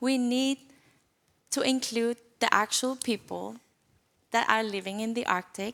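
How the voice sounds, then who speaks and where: A woman's fairly high voice in a Greenlandic accent, fairly slow and fairly even, with long, frequent pauses. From northern Greenland. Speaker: youth delegate. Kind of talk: panel discussion.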